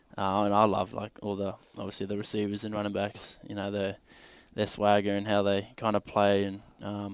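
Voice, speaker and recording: In an Australian accent, a man with a fairly low pitch speaks in a monotone, flat way on a very clean recording with a silent background. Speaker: football player. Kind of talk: casual interview.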